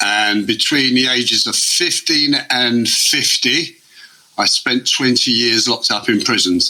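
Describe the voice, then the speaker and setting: A man with an English accent speaks at a medium pitch, his loudness very even. Noticeable background noise sits behind him. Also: ordinary pitch variation, fairly slow pace. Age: 60s. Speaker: former offender and artist. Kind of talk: interview.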